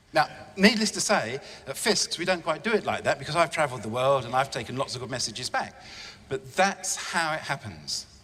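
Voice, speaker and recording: The speaker has an English accent and very wide pitch swings. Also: man. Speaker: estate agency director. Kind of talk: conference talk. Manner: fast; enthusiastic.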